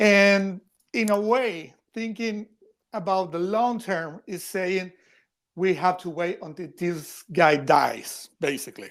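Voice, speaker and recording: At a very slow pace, a man with a Spanish accent speaks in a high pitch. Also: ordinary pitch variation, very clean recording, silent background. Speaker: editorial cartoonist. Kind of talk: podcast interview. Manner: halting, repeats words.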